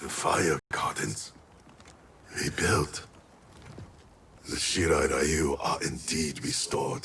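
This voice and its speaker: Using a put-on character voice, a man speaks at a very slow pace with long, frequent pauses. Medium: video game. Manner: terse, solemn.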